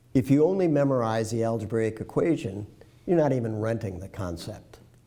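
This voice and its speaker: This man's medium-pitched, dark, mellow voice moves at a fairly quick pace with lively intonation and big swings in loudness. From US Midwest, Detroit. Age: 70s. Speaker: retired professor. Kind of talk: interview. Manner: halting.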